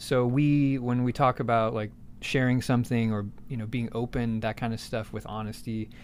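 With an American accent, a man talks at a medium pitch and moderate pace in monotone, flat intonation, in a very clean recording with a silent background. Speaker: podcast host. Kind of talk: casual chat. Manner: joking, laid-back.

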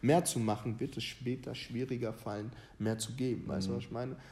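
A man's voice, medium in pitch, carries a dark, mellow tone. It sounds somewhat breathy. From Ghana. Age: 20s. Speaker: youth footballer and motivational content creator. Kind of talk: casual chat.

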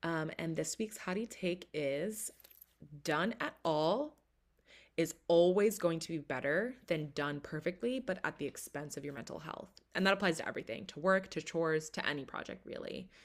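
A woman's plain, everyday voice, fairly low in pitch, with lively intonation at a moderate pace. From Philadelphia area, US. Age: 20s. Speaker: podcast host and artist. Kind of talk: solo podcast monologue.

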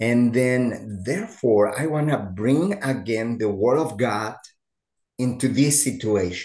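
Keeping very even loudness, a man with a Mexican accent speaks at a very slow pace. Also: medium pitch for a man, ordinary pitch variation, quiet background. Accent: Mexican Spanish-accented English, noticeable. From Mexico. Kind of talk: interview conversation.

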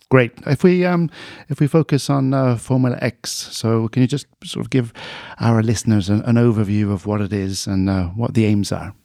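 A man with a British accent speaks at medium pitch in a dark, mellow tone, with lively intonation at a moderate pace, his voice dry and close with no echo on a very clean recording with a silent background. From UK. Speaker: podcast host. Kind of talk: podcast interview. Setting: studio.

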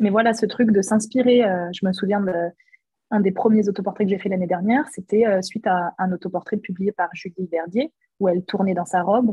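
A somewhat breathy woman's voice at a fairly quick pace, with fairly even intonation. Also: medium pitch for a woman. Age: 20s. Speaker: photographer. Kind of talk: interview.

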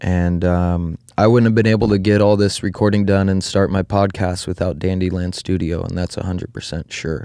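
With a dark, mellow tone and a very deep, low pitch, a man in an American accent talks with fairly even intonation and hardly any pauses against a quiet background. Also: moderate pace. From Oregon, US. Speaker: podcast host. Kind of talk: casual chat.

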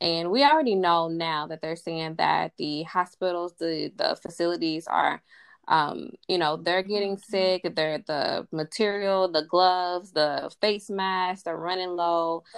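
Using a normal speaking voice, a woman with fairly low pitch talks at a fairly slow pace with hardly any pauses. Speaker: podcast co-host. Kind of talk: casual chat.

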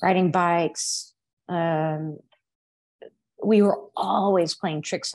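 At a very slow pace, a woman with a Texas accent speaks at a fairly low pitch with fairly even intonation. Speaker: hairdresser and aspiring author. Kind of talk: casual interview, storytelling.

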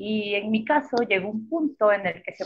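Here is a woman with an unremarkable speaking voice. She talks at a fairly slow pace with medium pitch. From Mexico, Chiapas (Tuxtla Gutiérrez). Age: 30s. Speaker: architect and cycling traveler. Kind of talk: interview. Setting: live online broadcast.

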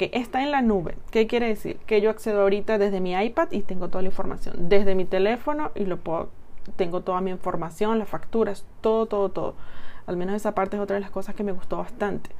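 A woman speaks at a very fast pace in a medium pitch, with ordinary pitch variation. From Chile. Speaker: podcaster reviewing business software. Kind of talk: casual tutorial monologue.

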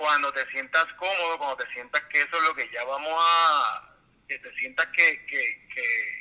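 A man talks with a Puerto Rican accent at a fairly slow pace. His loudness swings widely. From Puerto Rico. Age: 40s. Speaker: civil engineer. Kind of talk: casual interview. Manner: halting, many repetitions.

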